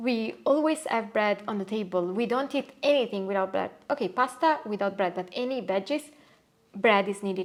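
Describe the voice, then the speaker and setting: The speaker talks in a Neapolitan accent at a moderate pace with ordinary pitch variation. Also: woman. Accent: Italian (Neapolitan) accent in English. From Italy, Naples. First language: Italian. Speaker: Italian expat interviewee. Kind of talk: casual interview chat. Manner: hesitant, many fillers.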